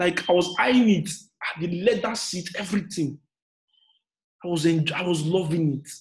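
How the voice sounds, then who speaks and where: A man's high-pitched, animated voice at a moderate pace, with ordinary pitch variation and long, frequent pauses, over a quiet background. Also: big swings in loudness. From Nigeria. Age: 30s. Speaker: motivational speaker and business coach; motivational speaker, business coach. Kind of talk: motivational talk. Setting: online live session. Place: home room. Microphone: webcam.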